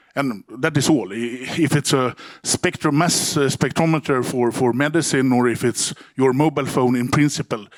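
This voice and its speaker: With a strong Swedish accent, a man talks at medium pitch and a moderate pace with ordinary pitch variation, on a very clean recording with a silent background. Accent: broad Swedish. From Sweden. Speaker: company CEO. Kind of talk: conference talk. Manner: halting, many repeated words.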